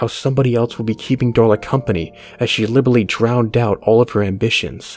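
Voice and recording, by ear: The text is read aloud in a natural voice. Its intonation is fairly even.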